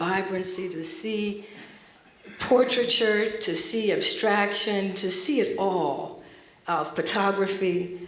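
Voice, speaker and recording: Amid noticeable background noise and audible room echo, a woman speaks in a medium pitch with an American accent. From US Northeast (Montclair, New Jersey). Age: 60s. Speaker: artist. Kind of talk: panel talk.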